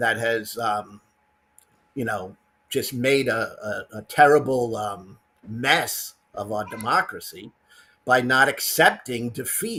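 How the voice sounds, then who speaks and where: With a New York accent, a man speaks at a fairly slow pace in a medium pitch with ordinary pitch variation. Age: 60s. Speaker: caller. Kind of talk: casual chat.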